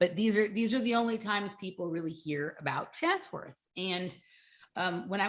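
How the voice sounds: A woman's medium-pitched voice at a moderate pace, with ordinary pitch variation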